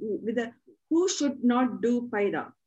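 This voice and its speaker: With an Indian accent, a woman speaks at a fairly high pitch using lively intonation. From South India. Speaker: channel host and practitioner; interviewer. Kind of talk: interview. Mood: animated, eager. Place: home room. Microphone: video call.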